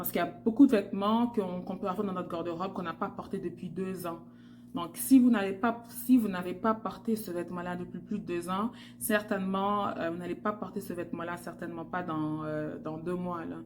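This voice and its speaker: The woman's voice sits at a medium pitch with ordinary pitch variation. She talks at a fairly quick pace, and her loudness swings widely. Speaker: fashion stylist vlogger. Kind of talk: tutorial. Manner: hesitant with fillers.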